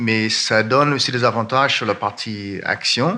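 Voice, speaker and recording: A man speaks at a medium pitch with ordinary pitch variation. His pace is fairly slow. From Ireland. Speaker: fund manager. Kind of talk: conference panel talk. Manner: halting.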